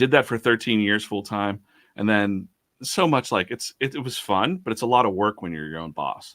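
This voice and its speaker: A man speaks at a moderate pace with fairly low pitch and lively intonation, in an unremarkable speaking voice. The recording is very clean, with a silent background. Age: 40s. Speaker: comic artist. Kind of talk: casual interview chat.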